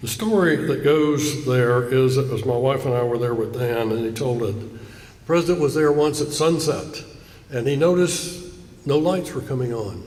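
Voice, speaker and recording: With a Southern US accent, a man of fairly high pitch speaks at a moderate pace with ordinary pitch variation amid noticeable background noise. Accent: Southern US (Georgia). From US South, south Georgia (Coffee County). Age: 70s. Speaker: keynote speaker. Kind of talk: speech. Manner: formal.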